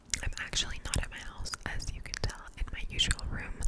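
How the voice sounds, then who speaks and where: Whispering from a woman at a moderate pace. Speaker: ASMR creator. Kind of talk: soft ASMR vlog chat. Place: home room. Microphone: studio mic.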